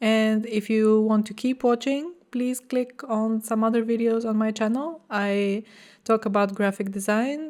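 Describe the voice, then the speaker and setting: In a very clean recording with a silent background, a woman with a non-native accent talks at a fairly slow pace in a fairly high pitch, her intonation fairly even. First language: not English. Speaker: graphic designer vlogger. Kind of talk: vlog talking to camera. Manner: casual with hesitations.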